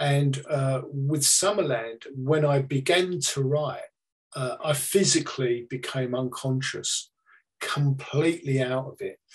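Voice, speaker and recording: In a British accent, a man speaks at a very slow pace, somewhat breathy, with fairly even intonation. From UK. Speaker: psychic medium. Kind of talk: presentation to an online audience.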